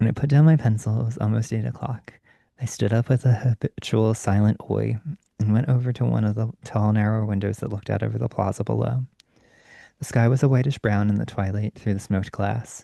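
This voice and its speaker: A man with an unremarkable speaking voice talks at a fairly quick pace. His pitch is fairly low and his intonation fairly even. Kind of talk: bedtime story reading, ASMR. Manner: soft-spoken, calm.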